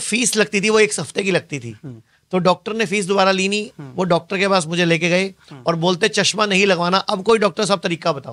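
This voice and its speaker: Moderate in pace, a man speaks in a high voice with ordinary pitch variation. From western Uttar Pradesh, Saharanpur; western Uttar Pradesh. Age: 40s. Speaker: Ayurveda practitioner; guest. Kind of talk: interview. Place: studio. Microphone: studio mic.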